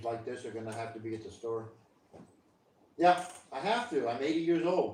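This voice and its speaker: A man talks at a medium pitch with ordinary variation. The room echoes audibly, and background noise is noticeable. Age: 60s. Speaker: live streamer. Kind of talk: casual chat. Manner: halting.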